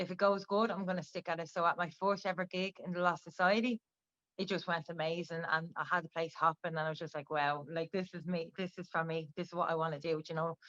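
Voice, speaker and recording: Speaking at a very fast pace with a Dublin accent, a woman with a fairly low pitch keeps her intonation fairly even, her voice recorded in a dry, close sound with no echo. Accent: Dublin Irish. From Ireland, Dublin. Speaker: rapper. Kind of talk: interview.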